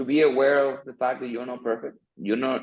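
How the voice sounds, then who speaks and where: This man talks in a Spanish accent. His intonation remains fairly even throughout. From Dominican Republic, La Vega. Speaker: architect, interview guest. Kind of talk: interview on video call. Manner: halting, many fillers and repeats.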